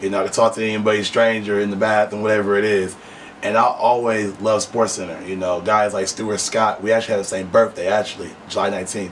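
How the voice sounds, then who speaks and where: With an American accent, a man talks at a very fast pace in monotone, flat intonation and fairly low pitch, with noticeable background noise. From Flint, Michigan. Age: 20s. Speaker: podcast host. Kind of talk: interview.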